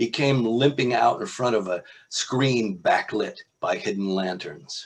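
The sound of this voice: A man with a slightly husky edge talks at a fairly slow pace, his fairly low pitch showing ordinary variation.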